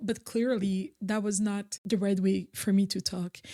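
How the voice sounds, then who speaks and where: The voice belongs to a woman and has a dark, mellow tone. It is somewhat breathy. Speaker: content creator. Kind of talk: casual talk to camera.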